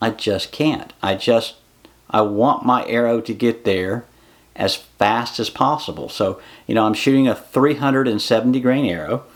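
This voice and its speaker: Moderate pace and a normal speaking voice from a man, medium in pitch with ordinary pitch variation. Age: 50s. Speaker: bowhunting YouTuber. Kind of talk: equipment review tutorial. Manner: casual, with frequent fillers.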